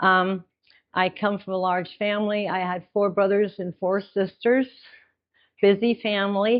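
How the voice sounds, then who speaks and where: The delivery is monotone and flat, at a fairly slow pace. Long pauses come often. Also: woman, medium pitch for a woman. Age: 70s. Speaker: spiritual presenter, light language practitioner. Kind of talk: workshop presentation. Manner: halting, many fillers and repetitions.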